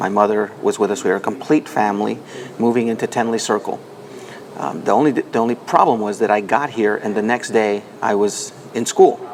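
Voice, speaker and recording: Against noticeable background noise, a man of medium pitch speaks at a fairly quick pace with fairly even intonation. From Nicaragua, then Washington DC from age six. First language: Spanish. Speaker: foundation president. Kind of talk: interview.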